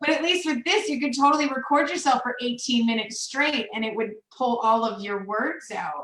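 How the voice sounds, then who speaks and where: A woman speaks fast-ish with a high pitch, very wide pitch swings and hardly any pauses. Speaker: accounting professional. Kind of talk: casual chat.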